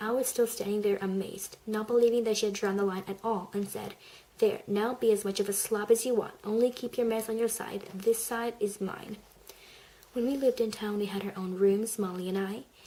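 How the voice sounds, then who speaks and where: Soft-spoken and fairly high-pitched, a woman talks at a fairly quick pace in a flat monotone over noticeable background noise. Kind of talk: audiobook-style reading of a story.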